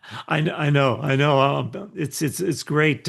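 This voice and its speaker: A man talks fairly quickly. Behind him, the background stays quiet. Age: 60s. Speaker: podcast host. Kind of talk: interview conversation. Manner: halting, many repeated words.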